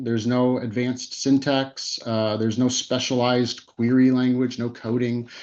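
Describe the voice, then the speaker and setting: Pitched at a medium level, a man's voice moves along at a moderate pace. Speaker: tech company presenter. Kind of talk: webinar presentation. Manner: halting, many fillers and repeats.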